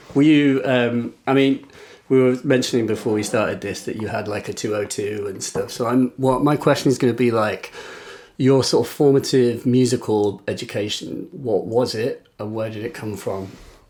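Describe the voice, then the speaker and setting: Over noticeable background noise, a man with an English accent talks at a medium pitch with fairly even intonation. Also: moderate pace. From England. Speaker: podcast host. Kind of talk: casual interview.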